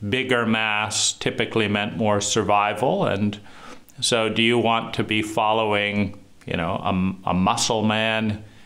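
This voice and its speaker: A man's fairly low voice with audible room echo. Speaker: trauma educator. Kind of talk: monologue lecture. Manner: halting.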